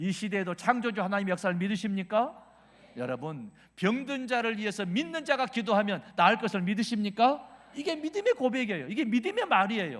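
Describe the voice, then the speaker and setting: With a Jeolla accent, a man speaks at a high pitch and a fairly quick pace, his tone animated and his intonation lively. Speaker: revival preacher, pastor. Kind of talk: sermon.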